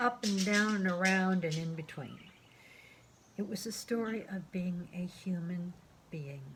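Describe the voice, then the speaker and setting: Over noticeable background noise, a woman with a medium pitch speaks at a fairly slow pace. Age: 60s. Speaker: artist and graphic memoir author. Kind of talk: casual talk to camera.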